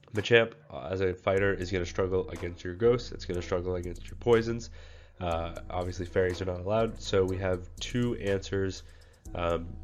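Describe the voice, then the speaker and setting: Music plays behind a man with a very deep, low pitch, and the room echo is audible. He talks at a fairly quick pace with fairly even intonation but big swings in loudness. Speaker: gaming content creator. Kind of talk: game strategy tutorial. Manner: frequent filler words.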